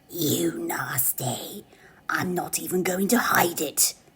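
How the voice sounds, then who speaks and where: A female-sounding voice growls, wheezes and cackles in a put-on character voice at a fairly low pitch. The pace is fairly slow. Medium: solo performance. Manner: cackling, wheezy.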